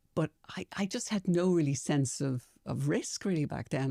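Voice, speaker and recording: Dry and close with no echo, the dark, mellow voice moves at a moderate pace through very wide pitch swings. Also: woman. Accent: Irish. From Ireland, Dublin. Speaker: compliance executive, former lawyer. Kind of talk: interview.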